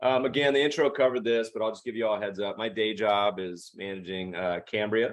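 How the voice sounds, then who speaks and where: In an American accent, an ordinary speaking voice moves at a fairly quick pace with ordinary pitch variation. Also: man. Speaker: investment manager and podcast host. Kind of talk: virtual presentation. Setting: video call webinar. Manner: casual, chatty.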